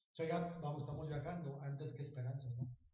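A man is speaking. Audible room echo fills the recording. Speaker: comedian. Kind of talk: casual chat.

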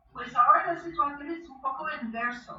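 A woman speaks in a high-pitched, raised and projected voice. Noticeable background noise and audible room echo surround her. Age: 60s. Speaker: belly dance teacher and author. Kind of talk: interview. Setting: remote call.

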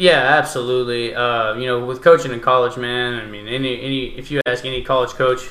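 A man with a medium pitch talks fairly quickly with hardly any pauses, fairly even intonation and big swings in loudness, amid audible room echo and noticeable background noise. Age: 20s. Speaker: college baseball coach. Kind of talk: casual chat.

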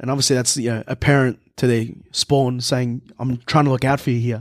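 With an Australian accent, the voice races along at a very fast pace. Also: man. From Melbourne, Australia. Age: 20s. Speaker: chef. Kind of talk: casual chat.

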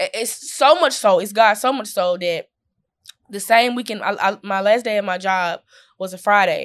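A woman speaks at medium pitch and a moderate pace with ordinary pitch variation. The recording is very clean, with a silent background. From Mississippi, Columbus. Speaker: stand-up comedian. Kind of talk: casual interview chat.

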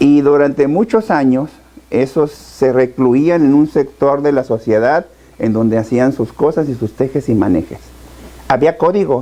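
With an unremarkable speaking voice, a man talks at a fairly slow pace and fairly high pitch, keeping very even loudness and ordinary pitch variation. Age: 50s. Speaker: state education official and politician. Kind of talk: interview.

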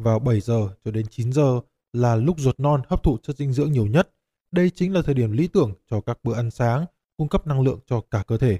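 Recorded with a dry, close sound with no echo, a man at a medium pitch talks at a fairly quick pace with lively intonation, a dark, mellow tone and a somewhat breathy quality. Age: 30s. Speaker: podcast host. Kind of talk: scripted narration.

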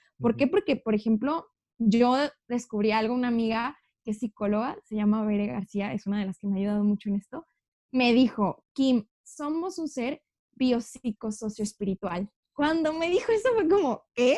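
Her tone dark and mellow, a woman speaks at a moderate pace with lively intonation. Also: fairly high pitch for a woman, dry, close sound with no echo. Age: 20s. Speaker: university student. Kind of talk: casual chat.

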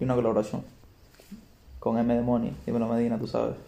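A man talks in a dark, mellow tone. His pitch sits in the medium range. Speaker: rapper. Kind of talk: casual interview.

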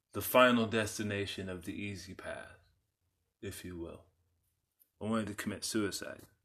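A man with an American accent speaks at a moderate pace in a fairly low pitch, his bright, sharp tone delivered in a flat monotone with big swings in loudness, long, frequent pauses, and audible room echo. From Texas (San Antonio). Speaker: podcast host. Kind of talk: personal monologue.

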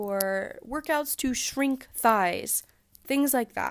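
On a very clean recording with a silent background, a woman talks at a fairly slow pace, her intonation lively and her tone animated. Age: 20s. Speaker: podcast host. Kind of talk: casual monologue.

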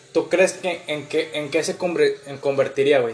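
A man with a high pitch speaks at a moderate pace over music in the background. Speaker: podcast co-host. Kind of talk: casual chat.

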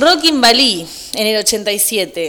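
A woman speaks with an animated tone while noticeable background noise fills the recording. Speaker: youth radio co-host. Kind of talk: casual chat.

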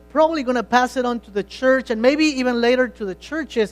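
With music in the background, a man with an extremely high pitch and a non-native accent speaks at a fairly quick pace, showing ordinary pitch variation. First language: not English. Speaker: pastor. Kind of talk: sermon. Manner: halting, with repeated words.

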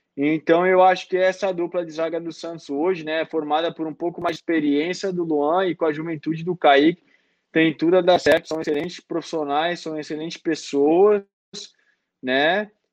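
At a moderate pace, a man with a high pitch speaks in a monotone, flat intonation. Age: 20s. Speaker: professional footballer. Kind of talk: interview.

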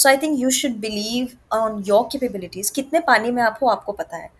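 A woman talks very fast with an Indian accent. Her pitch is fairly high. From Gorakhpur, Uttar Pradesh, India. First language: Hindi. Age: 20s. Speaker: actress and model. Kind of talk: casual interview, Hindi-English code-switching.

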